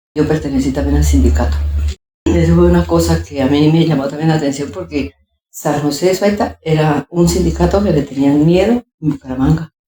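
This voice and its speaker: A woman talks at a fairly quick pace with a very deep, low pitch, vocal fry and a dark, mellow tone. Her pitch swings very widely while her loudness stays very even. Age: 70s. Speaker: former factory worker and union secretary. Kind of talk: oral history interview.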